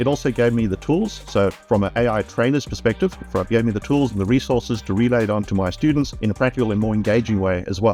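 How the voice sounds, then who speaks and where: Over music in the background, a man with a South African accent talks at a very fast pace with hardly any pauses, lively intonation and a fairly low pitch. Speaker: IT trainer. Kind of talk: testimonial interview answer.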